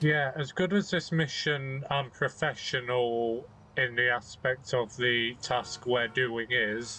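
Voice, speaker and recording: With a British accent, a man at medium pitch speaks in a bright, sharp tone with fairly even intonation. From Britain. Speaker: video game let's play commentator. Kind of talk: gameplay commentary. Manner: monotone.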